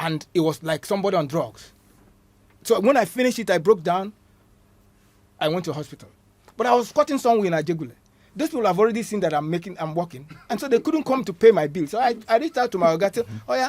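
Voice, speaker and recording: A man's high-pitched, very fast speech with very wide pitch swings and long, frequent pauses. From Nigeria, Igbo. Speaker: actor and filmmaker. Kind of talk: interview. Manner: halting, repeats words.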